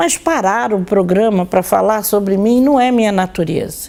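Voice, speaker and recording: A dark, mellow tone carries a woman's lively intonation. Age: 60s. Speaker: occultist and religion scholar presenting her own show. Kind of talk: monologue talk to viewers.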